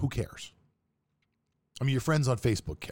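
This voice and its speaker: A man with an American accent speaks at a medium pitch in a somewhat breathy voice, on a very clean recording with a silent background. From Pittsburgh, Pennsylvania. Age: 40s. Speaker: podcast host, sports trader. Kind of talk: casual monologue.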